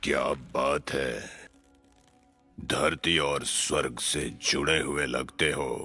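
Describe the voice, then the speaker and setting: Raspy and very deep, a man speaks at a fairly slow pace with long, frequent pauses as faint music plays in the background. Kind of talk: Hindi film dubbing. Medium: fan dub. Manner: playful, leering, rambling.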